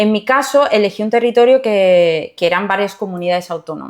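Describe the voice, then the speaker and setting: With lively intonation, a woman delivers her words at a moderate pace. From southern Spain, Jerez de la Frontera, Cádiz. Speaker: court civil servant and mentor. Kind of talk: interview conversation.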